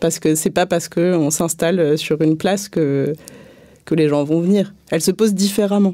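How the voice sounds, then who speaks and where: A dark, mellow tone at a moderate pace, with very even loudness and fairly even intonation. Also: woman, fairly low pitch for a woman. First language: not French (speaking French). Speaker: street theatre and circus artist. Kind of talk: panel debate. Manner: hesitant, many fillers.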